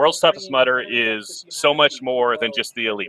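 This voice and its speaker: Lively intonation marks this man's normal speaking voice. He has a fairly high pitch and a moderate pace. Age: 40s. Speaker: race commentator. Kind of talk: live commentary.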